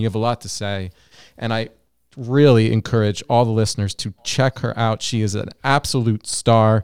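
A man with an American accent speaks in an ordinary speaking voice, fairly low-pitched and at a fairly quick pace, with fairly even intonation. The recording is very clean with a silent background, and the sound is dry and close with no echo. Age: 40s. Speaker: clinical psychologist, podcast host. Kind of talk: interview.

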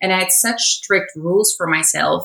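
A woman with a Dutch accent speaks at a moderate pace and medium pitch. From Netherlands. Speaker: chief editor. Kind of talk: personal testimony.

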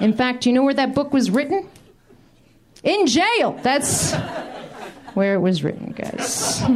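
A woman with a high voice speaks at a fairly slow pace, her pitch swinging very widely while her loudness stays very even, with long, frequent pauses and noticeable background noise. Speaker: comedian. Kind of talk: stand-up. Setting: stage with audience.

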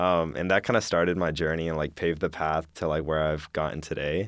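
A man speaks at a moderate pace. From Alabama (Madison). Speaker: university student. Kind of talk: interview storytelling.

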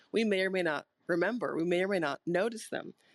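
In a dry, close sound with no echo and a quiet background, a woman talks at a fairly quick pace with a fairly low pitch and ordinary pitch variation. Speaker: mental performance coach and holistic healer. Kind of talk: motivational talk. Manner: soft-spoken.

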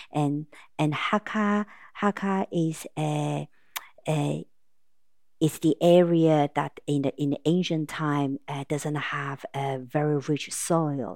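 On a very clean recording with a silent background, a woman with a very deep, low pitch and a Taiwanese accent speaks at a very slow pace with ordinary pitch variation. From Taiwan, Taipei. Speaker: restaurant owner and pharmaceutical consultant. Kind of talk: casual interview.

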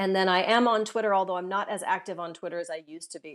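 Medium-pitched woman with a Californian accent, very clean recording, silent background. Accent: Californian American English. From Southern California. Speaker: author and climber. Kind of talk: interview.

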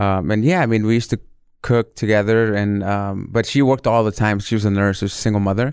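A man speaks very fast in an American accent, his pitch fairly low and his intonation fairly even. His loudness stays very even, and the recording is very clean with a silent background. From born Mexico City, raised California. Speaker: chef. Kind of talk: casual interview.

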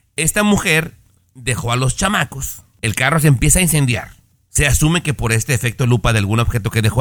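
His pitch swings very widely as the man talks at a moderate speed. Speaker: radio co-host. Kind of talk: casual chat.

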